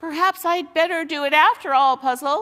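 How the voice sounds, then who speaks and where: Putting on a squeaky character voice, a woman speaks high-pitched at a moderate pace. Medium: read story. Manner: wheedling, self-pitying, superior.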